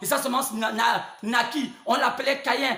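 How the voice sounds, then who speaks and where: Over noticeable background noise and audible room echo, a man speaks at a fairly slow pace. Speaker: preacher. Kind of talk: sermon. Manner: halting, with many repetitions; spontaneous, not calm.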